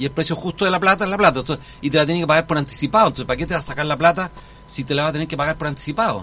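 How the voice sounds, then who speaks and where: A man's voice over noticeable background noise. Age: 60s. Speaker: constitutional convention delegate. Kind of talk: radio interview. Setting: radio studio.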